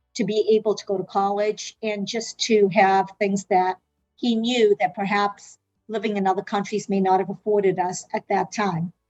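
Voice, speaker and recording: With music in the background, a woman of medium pitch talks at a moderate pace in a monotone, flat intonation, with a dry, close sound and no echo. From South Africa, then Massachusetts from age 12. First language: Portuguese. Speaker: medical interpreter and healthcare consultant. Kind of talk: interview answers.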